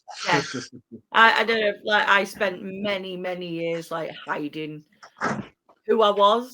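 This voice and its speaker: A woman's bright, sharp, medium-pitched voice at a very slow pace, with ordinary pitch variation and long, frequent pauses. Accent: Yorkshire. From northern England, Doncaster. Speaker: podcast host. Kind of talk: casual chat.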